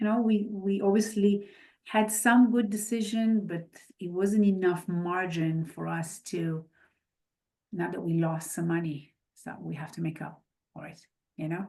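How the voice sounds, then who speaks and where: The voice has a dark, mellow tone, somewhat breathy, with ordinary pitch variation and big swings in loudness. It moves at a fairly slow pace with long, frequent pauses. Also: woman, medium pitch for a woman. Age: 50s. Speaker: real estate investor. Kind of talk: podcast interview.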